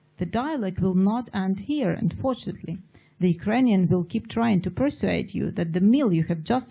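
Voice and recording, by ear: Someone is reading aloud in a natural voice. Their pitch moves in a lively way.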